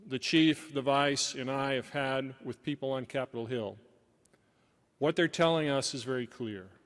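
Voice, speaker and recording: A man with an ordinary speaking voice talks at a moderate pace with an American accent. His pitch is medium with ordinary pitch variation, and the sound is dry and close with no echo. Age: 60s. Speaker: senior army civilian official. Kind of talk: conference keynote speech. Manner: formal.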